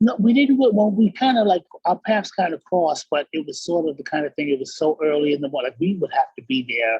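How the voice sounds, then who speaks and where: Very fast speech in an American accent with very wide pitch swings and hardly any pauses. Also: man, high pitch for a man. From New York City. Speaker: professional singer. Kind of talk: interview answer. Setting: video call. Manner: casual, conversational.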